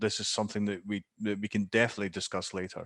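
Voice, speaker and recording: The sound is dry and close, with no echo. The speaker has a Scottish accent. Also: man. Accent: Scottish, noticeable. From Scotland. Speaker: digital marketing specialist. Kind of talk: Q&A answer in webinar. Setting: video call. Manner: halting, many fillers.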